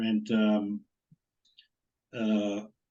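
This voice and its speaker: This man speaks with a New Jersey accent. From northern New Jersey. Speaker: former college quarterback. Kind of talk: interview.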